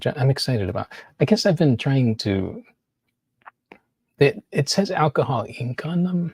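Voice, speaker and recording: Speaking at a moderate pace with long, frequent pauses, a man with a somewhat breathy, fairly high-pitched voice is heard in a very clean recording with a silent background. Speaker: artist. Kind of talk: casual monologue. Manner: halting.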